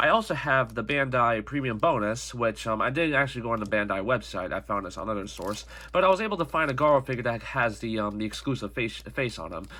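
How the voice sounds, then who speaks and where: Talking at a very fast pace with hardly any pauses, a man has a bright, sharp tone and vocal fry. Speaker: toy reviewer. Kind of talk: product review. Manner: halting.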